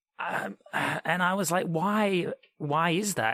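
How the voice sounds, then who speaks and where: The voice has an Australian accent and a bright, sharp tone, recorded in a dry, close sound with no echo. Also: man. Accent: mild Australian. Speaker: podcast host. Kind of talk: podcast interview.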